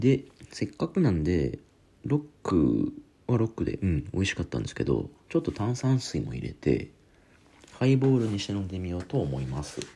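In a very deep, low voice with a dark, mellow tone, a man speaks somewhat breathily at a moderate pace, his pitch swinging very widely. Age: 30s. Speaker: podcast host. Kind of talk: solo casual talk.

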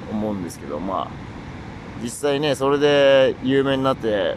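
A man talks in a relaxed tone with lively intonation. Audible room echo and noticeable background noise surround his voice. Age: 20s. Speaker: solo voice-streaming podcaster. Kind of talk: casual monologue. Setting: outdoors, lying by a river. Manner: relaxed, casual with fillers.

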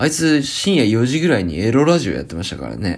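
The speaker talks at a moderate pace. There is vocal fry in the voice. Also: man. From Japan, Akita. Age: 30s. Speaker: podcast host. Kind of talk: casual solo talk.

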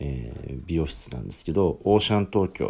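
Delivered at a moderate pace, the voice carries a dark, mellow tone with ordinary pitch variation. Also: man. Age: 30s. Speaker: podcaster. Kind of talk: solo monologue. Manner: halting.

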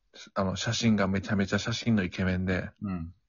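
A man with a Kansai accent speaks at a fairly quick pace, his fairly low pitch held in a monotone, flat intonation. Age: 30s. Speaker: podcast guest. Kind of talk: casual chat.

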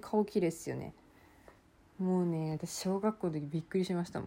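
A woman with an ordinary speaking voice, fairly low in pitch, fairly quick in pace, with fairly even intonation. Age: 20s. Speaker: university student podcaster. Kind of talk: casual solo monologue.

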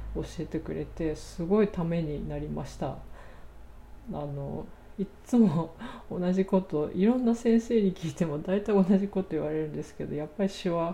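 A woman's calm tone at a moderate pace, with big swings in loudness. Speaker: podcaster, English learner. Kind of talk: solo talk.

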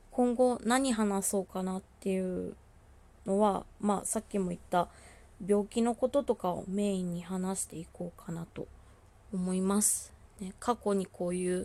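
A woman talks in a calm, medium-pitched voice at a fairly slow pace. Her intonation is fairly even, though her loudness swings widely. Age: 20s. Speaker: solo podcaster living with bipolar disorder. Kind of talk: solo monologue, self-introduction. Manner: halting, many fillers and pauses.

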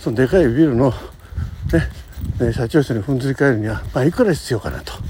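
A man's speech moves fairly quickly. Noticeable noise lingers in the background. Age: 60s. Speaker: podcaster. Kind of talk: casual monologue. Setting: outdoors, walking to work. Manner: rambling with fillers and laughs.

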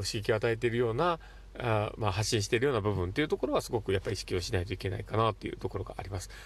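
This man speaks at a very fast pace. The recording is very clean, with a silent background. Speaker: psychiatric visiting nurse, podcast host. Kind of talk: solo monologue podcast. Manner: animated.

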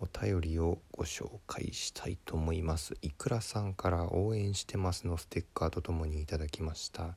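A man with a very deep, low pitch speaks at a moderate pace in a dark, mellow, somewhat breathy tone, on a very clean recording with a silent background. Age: 30s. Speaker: comedian. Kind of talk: casual chat.

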